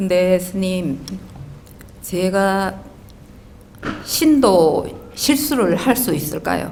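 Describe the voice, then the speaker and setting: Audible room echo carries a woman's medium-pitched voice at a very slow pace, her intonation lively and broken by long, frequent pauses. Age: 60s. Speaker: audience member asking a question. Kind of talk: personal testimony in a Q&A. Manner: halting.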